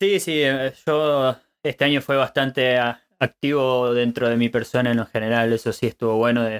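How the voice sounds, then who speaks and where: A man speaks in an Argentine accent at a moderate pace. His pitch is in the middle of the male range. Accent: Argentine Spanish (Rioplatense). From Argentina. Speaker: podcast host. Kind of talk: casual chat. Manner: halting.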